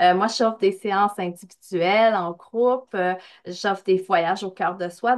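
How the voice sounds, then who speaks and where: Speaking in a sing-song way with a slight Quebec accent, a woman keeps a medium pitch, ordinary pitch variation and a fairly slow pace against a quiet background. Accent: Québécois, slight. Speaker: spiritual coach, medium. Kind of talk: podcast interview. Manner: sing-song intonation.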